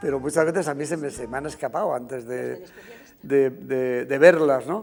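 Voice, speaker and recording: A man's fairly high voice, moving at a moderate pace with ordinary pitch variation, comes through noticeable background noise. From Spain, Segovia (Riaza). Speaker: costume designer. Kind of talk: interview. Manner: halting, many fillers.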